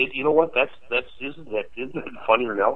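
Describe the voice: At a fast pace, a man speaks with a medium pitch.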